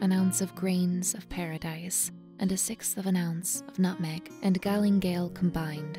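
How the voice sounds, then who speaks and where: A woman's fairly low voice at a fairly slow pace, with music in the background. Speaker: professional voice actress. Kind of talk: recipe narration voiceover, read from a historical text.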